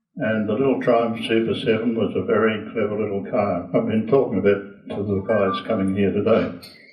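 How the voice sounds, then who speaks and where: In an Australian accent, a man with a fairly low pitch talks in a monotone, flat intonation at a fairly quick pace with hardly any pauses, with audible room echo and noticeable background noise. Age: 90s. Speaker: racing driver and car maker. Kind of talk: casual talk to a club audience. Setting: lunch gathering with audience.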